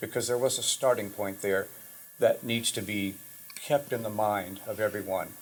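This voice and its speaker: Background noise is noticeable as a man talks at a moderate pace. His pitch is fairly low and his intonation fairly even. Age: 70s. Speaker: drum teacher, former symphony percussionist and professor. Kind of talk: casual talk in recording session. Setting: private home studio.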